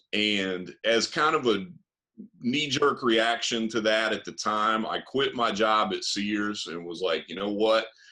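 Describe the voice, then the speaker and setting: With an American accent, a man speaks at a fairly slow pace in a bright, sharp tone. His pitch is medium, with ordinary variation. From US South, East Tennessee. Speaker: music producer and recording artist. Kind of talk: podcast interview. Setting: studio. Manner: halting, many fillers and repeats.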